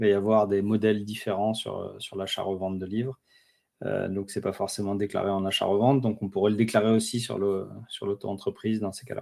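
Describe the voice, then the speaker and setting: The voice has a dark, mellow tone and monotone, flat intonation, delivered at a fairly quick pace. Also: man. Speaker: webinar presenter on freelance admin. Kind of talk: webinar presentation. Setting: online webinar. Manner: hesitant, many fillers.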